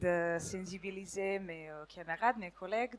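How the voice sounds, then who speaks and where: A woman speaks with a Serbian accent. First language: Serbian (speaking French). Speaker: law student. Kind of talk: impromptu audience testimony. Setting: stage with audience. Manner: halting.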